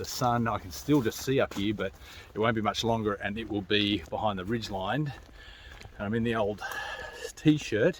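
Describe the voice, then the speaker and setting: A man speaks in an Australian accent with long, frequent pauses. Noticeable background noise runs underneath. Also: medium pitch for a man, ordinary pitch variation, moderate pace. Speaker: solo hiker vlogger. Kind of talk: casual vlog narration. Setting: outdoors on a hiking trail. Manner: relaxed, conversational.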